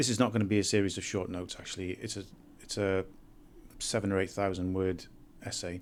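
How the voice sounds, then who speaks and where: Very fast between long, frequent pauses, a man talks in a fairly low pitch with fairly even intonation. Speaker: essayist reading his own writing. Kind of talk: political monologue and reading aloud of own essay. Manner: hesitant, with fillers.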